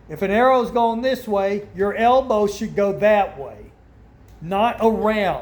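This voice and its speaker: The room echo is audible as a man speaks. His pitch is high and his pace very slow. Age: 60s. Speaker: archery hunter and video creator. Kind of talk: casual talk-to-camera tutorial. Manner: opinionated, emphatic.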